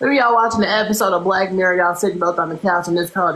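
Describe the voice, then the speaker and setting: A woman talks at a very fast pace with fairly even intonation. Noticeable background noise is present. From US South (Louisiana). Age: 20s. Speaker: livestreamer chatting with strangers. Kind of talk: casual chat. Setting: video call. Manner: loud; brash, teasing.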